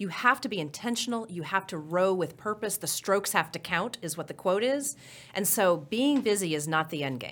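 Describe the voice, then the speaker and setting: Lively intonation marks a woman's plain, everyday voice, medium in pitch and fairly quick in pace. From Oklahoma. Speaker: transit agency finance executive. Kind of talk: interview.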